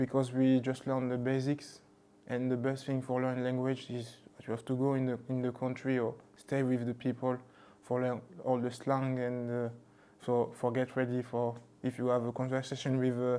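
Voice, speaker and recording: A man's medium-pitched voice with a French accent, dark and mellow in tone, monotone and flat, at a moderate pace. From France, Toulouse (born in Mali). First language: Bambara. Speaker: rugby league player. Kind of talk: casual interview. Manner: halting, many fillers.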